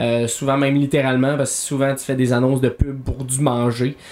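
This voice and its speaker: A man with a Quebec accent. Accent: Québécois French. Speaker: podcast host. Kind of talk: casual chat while playing video games.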